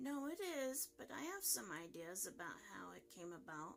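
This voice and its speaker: Over clear background noise, a woman speaks in a put-on character voice. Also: moderate pace. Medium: read story. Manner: calm, measured.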